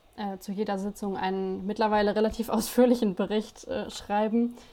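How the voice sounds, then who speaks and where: The woman's tone is dark and mellow, pitched fairly high. She keeps a moderate pace and fairly even intonation. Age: 20s. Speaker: student union spokesperson. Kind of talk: casual chat.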